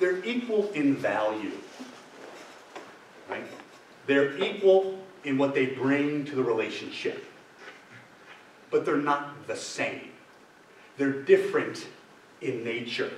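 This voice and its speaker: A man with a fairly high voice and lively intonation speaks at a very slow pace, leaving long, frequent pauses. Noticeable background noise and audible room echo fill the recording. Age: 60s. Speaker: deacon leading marriage preparation ministry. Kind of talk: adult faith formation talk. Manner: conversational, checks in with audience.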